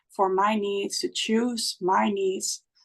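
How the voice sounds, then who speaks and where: In a Dutch accent, a woman talks at a fairly slow pace with a fairly high pitch. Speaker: spiritual guide. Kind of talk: podcast conversation. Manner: halting.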